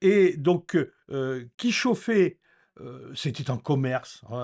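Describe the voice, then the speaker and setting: A man with a dry, close sound with no echo, against a quiet background. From France, Normandy (rural). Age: 60s. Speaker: eco-renovation educator. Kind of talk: informal explanatory talk. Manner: hesitant, many fillers.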